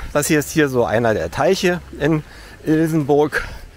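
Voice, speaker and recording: A man talks with lively intonation. The sound is dry with no echo, with light background noise. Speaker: hiker vlogger. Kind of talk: casual vlog chat. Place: street. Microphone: phone near.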